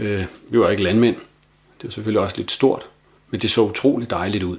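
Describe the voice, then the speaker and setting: A man talks at a moderate pace in a fairly low pitch. His intonation is fairly even and his voice somewhat breathy. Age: 50s. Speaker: island resident, former union chairman. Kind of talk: self-recorded audio diary.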